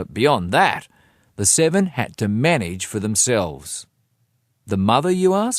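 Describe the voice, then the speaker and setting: A man talks in an Australian accent with very wide pitch swings. The recording is very clean, with a silent background. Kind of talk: audiobook reading.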